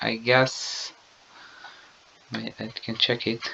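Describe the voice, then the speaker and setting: A man speaks with a non-native accent. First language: not English. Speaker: gaming YouTuber. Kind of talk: video game lap analysis commentary. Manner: halting.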